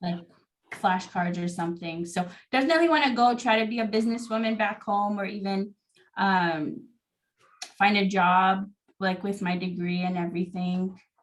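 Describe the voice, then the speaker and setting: A woman of medium pitch sounds somewhat breathy and leaves long, frequent pauses. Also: ordinary pitch variation, moderate pace. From American Samoa. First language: Samoan. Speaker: podcast guest. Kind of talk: casual interview chat.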